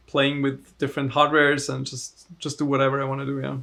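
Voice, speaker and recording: Talking at a moderate pace with a German accent, a man uses a bright, sharp tone, a fairly high pitch and monotone, flat intonation in a very clean recording with a silent background. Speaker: overclocker and tech entrepreneur. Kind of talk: casual interview.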